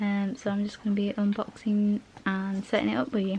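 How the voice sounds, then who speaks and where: Soft-spoken and at a fairly quick pace, the speaker is heard over noticeable background noise. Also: woman. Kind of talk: casual unboxing talk to camera. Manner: relaxed, laid-back.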